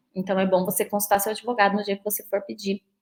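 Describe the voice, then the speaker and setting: The woman speaks at a medium pitch. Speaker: lawyer. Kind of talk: lecture. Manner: fast.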